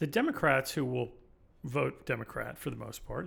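A man speaks at a fairly quick pace. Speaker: podcast host. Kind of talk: casual chat. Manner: wry.

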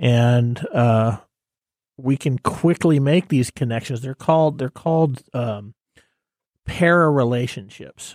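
The sound is dry and close with no echo. A man speaks at a medium pitch and a very slow pace. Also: ordinary pitch variation, very clean recording, silent background. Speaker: radio co-host. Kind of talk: casual radio show banter.

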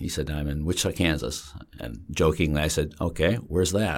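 A man with an American accent and vocal fry at a fairly quick pace. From upstate New York, Lake George area. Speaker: entrepreneur and former CEO. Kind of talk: interview.

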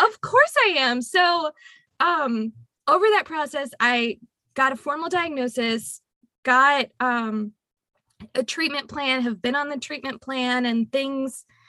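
A woman speaks in a raised, projected voice, high-pitched with a bright, sharp tone and lively intonation, at a very slow pace. The recording is very clean with a silent background. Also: dry, close sound with no echo. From Louisiana. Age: 20s. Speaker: tax accountant. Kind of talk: casual interview.

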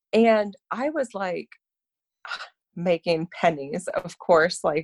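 A woman's medium-pitched voice with an Ontario accent, in a dry, close sound with no echo. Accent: Canadian (Ontario) English. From Canada, Toronto. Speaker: fundraising event planner. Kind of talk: casual interview.

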